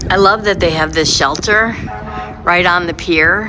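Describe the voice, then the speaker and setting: Over noticeable background noise, a woman speaks at a moderate pace in a fairly low pitch with ordinary pitch variation. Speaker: travel vlogger. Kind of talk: travel vlog narration. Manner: casual.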